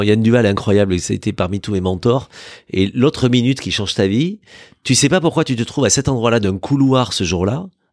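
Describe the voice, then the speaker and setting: At a fairly quick pace and medium pitch, a man speaks with lively intonation in a dry, close sound with no echo. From southern France, Aveyron (Villefranche-de-Rouergue). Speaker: radio journalist and TV presenter, charity president. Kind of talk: casual interview chat. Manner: hesitant, repeats words.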